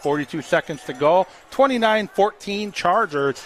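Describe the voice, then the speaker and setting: A man's intonation is lively as noticeable background noise carries on around him. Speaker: radio sports play-by-play announcer. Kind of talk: live sports commentary, play-by-play. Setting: broadcast booth at a football stadium.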